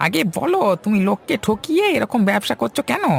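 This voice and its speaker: A man's cartoonish character voice, high in pitch, at a moderate pace. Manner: loud, confrontational.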